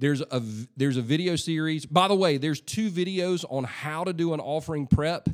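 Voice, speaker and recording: A man's normal speaking voice, fairly high in pitch, with ordinary pitch variation, a fairly quick pace and hardly any pauses. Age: 40s. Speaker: pastor and church leadership podcast host. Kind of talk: solo leadership podcast monologue. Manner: casual, conversational with frequent fillers.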